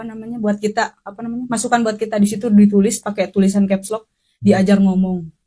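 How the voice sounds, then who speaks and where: A woman with a medium pitch talks at a fairly quick pace in a monotone, flat intonation, her somewhat breathy voice dark and mellow in tone. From West Java, Sundanese. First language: Sundanese (speaking Indonesian). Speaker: podcast guest. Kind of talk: casual chat.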